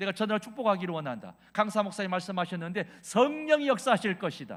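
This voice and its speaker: Animated in tone, a man speaks at a fairly quick pace with lively intonation. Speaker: revival preacher, pastor. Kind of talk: sermon.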